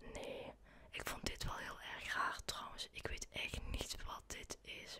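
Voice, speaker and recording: Whispering, a woman goes at a very slow pace. Behind her, background noise is noticeable. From Netherlands. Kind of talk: ASMR shopping voice-over. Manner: whispered.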